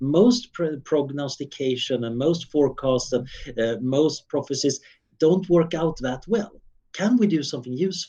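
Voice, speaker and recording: With a Swedish accent, a man talks at a fairly high pitch, his voice making very wide pitch swings. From Sweden, Stockholm suburb. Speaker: futurist researcher. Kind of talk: interview.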